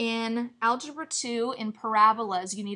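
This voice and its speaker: A woman with a fairly high pitch and a bright, sharp tone speaks with fairly even intonation. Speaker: math teacher. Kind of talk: tutorial.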